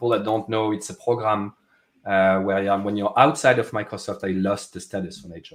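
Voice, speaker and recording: Speaking at a fairly quick pace with a French accent, a man has a fairly low pitch and fairly even intonation. His loudness swings widely on a very clean recording with a silent background. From France. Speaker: software product manager. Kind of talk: casual interview chat. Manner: many fillers and restarts.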